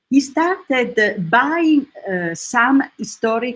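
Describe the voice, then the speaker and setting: A woman with an Italian accent speaks at a very slow pace with lively intonation. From Italy. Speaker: professional lutenist and guitarist. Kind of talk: interview. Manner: halting.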